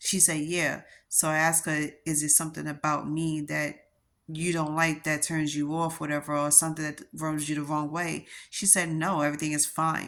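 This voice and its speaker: In a New York accent, a woman talks at a very deep, low pitch and a moderate pace. Her intonation is monotone and flat, and her loudness stays very even. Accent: New York accent, noticeable. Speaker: vlogger. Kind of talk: personal vlog monologue.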